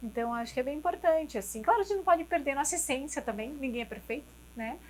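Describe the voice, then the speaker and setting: A woman talks at a very fast pace. Her voice is high-pitched with lively intonation. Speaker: neurologist. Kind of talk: interview. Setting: restaurant studio.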